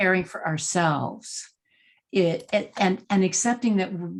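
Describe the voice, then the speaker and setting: A somewhat breathy woman's voice with an American accent. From Texas, San Antonio. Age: 70s. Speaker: executive leadership coach, former actress. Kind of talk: interview conversation.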